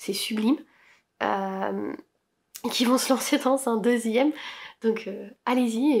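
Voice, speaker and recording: A woman speaks at a fairly high pitch with vocal fry and fairly even intonation. The recording is very clean, with a silent background. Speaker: knitting and sewing podcaster. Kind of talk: casual chat.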